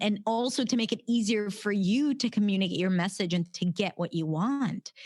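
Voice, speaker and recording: On a very clean, dry, close recording with a silent background and no echo, a woman speaks at medium pitch and a moderate pace, somewhat breathy, with very even loudness and ordinary pitch variation. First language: Hebrew. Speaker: pronunciation coach. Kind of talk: casual interview chat.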